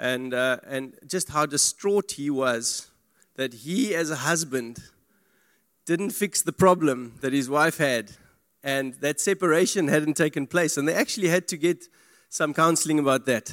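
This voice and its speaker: A man has an unremarkable speaking voice, fairly high in pitch with ordinary variation, at a fairly slow pace. The recording is very clean with a silent background, and the sound is dry and close, with no echo. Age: 40s. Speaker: lay preacher. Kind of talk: sermon. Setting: church.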